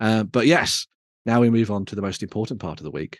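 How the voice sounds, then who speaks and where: A man with a West Midlands accent, fairly low in pitch, at a fairly quick pace against a quiet background. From West Midlands, England. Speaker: tabletop wargaming show host. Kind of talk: casual chat.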